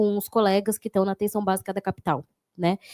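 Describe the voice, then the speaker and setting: A woman's voice with a dark, mellow tone comes through dry and close, with no echo. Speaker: city councillor and psychologist. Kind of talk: panel talk.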